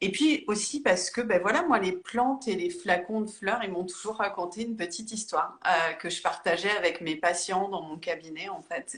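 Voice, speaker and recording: A woman's medium-pitched voice at a fairly slow pace, with lively intonation. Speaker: therapist and author. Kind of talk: interview on a live stream. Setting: Instagram live video call. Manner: hesitant, many fillers.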